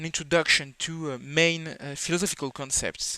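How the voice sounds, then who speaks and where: The speaker has a non-native accent and a bright, sharp tone. The pace is moderate. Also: man. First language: not English. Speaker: philosophy video creator. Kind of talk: educational lecture. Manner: halting, many fillers.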